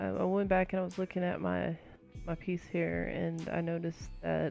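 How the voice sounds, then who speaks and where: A woman speaks at a moderate speed while music plays behind her. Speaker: digital artist. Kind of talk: casual voice-over for art timelapse. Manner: hesitant, many filler words.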